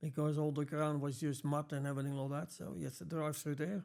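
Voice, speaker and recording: Speaking at a fairly quick pace, a man with a fairly high-pitched voice talks in a strong Dutch accent. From Netherlands. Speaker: glazing business owner. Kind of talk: interview.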